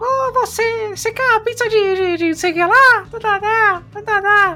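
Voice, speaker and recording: Over clear music in the background, a put-on character voice squeaks at an extremely high pitch. It moves at a fairly slow pace. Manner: cartoonish, babbling.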